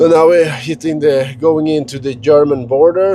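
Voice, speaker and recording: Noticeable background noise runs under the recording. A man speaks at a medium pitch with a Scandinavian accent. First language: Scandinavian language. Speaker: travel and finance vlogger. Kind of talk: casual vlog monologue. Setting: in a car. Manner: halting, many fillers and repetitions.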